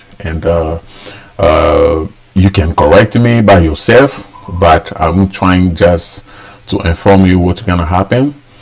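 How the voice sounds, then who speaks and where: Very slowly and in a very deep, low voice, a man speaks with ordinary pitch variation against noticeable background noise. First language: Lingala (also French). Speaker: tax professional. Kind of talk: live explainer broadcast. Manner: hesitant, many fillers.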